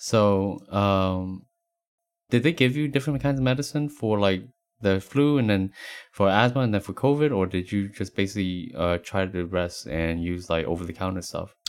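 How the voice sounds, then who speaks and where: A man with an American accent and a fairly low pitch speaks at a moderate pace with lively intonation in an unremarkable speaking voice. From US East Coast, Appalachia. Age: 30s. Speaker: podcast co-host. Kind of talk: casual chat.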